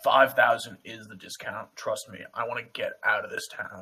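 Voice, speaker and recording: A man's raspy, put-on character voice at a moderate pace. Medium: actual play. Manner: casual, haggling.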